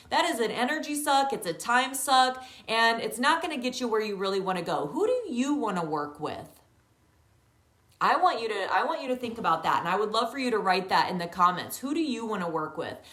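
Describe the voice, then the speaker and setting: Loud and fairly quick, a woman speaks in a fairly high pitch with very wide pitch swings, over noticeable background noise and audible room echo. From rural countryside. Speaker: yoga teacher. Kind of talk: online training talk. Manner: animated.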